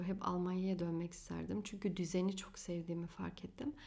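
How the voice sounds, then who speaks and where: Here a woman talks with a medium pitch. The tone comes across as dark and mellow. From Germany, Turkish family from Afyon. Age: 20s. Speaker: podcast host and astrologer. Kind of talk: solo podcast monologue.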